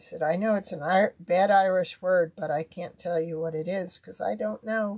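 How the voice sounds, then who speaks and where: Here is a woman with an unremarkable speaking voice. She has a fairly low pitch, ordinary pitch variation and a moderate pace. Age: 60s. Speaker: crafter. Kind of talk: live craft stream. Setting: livestream. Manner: casual.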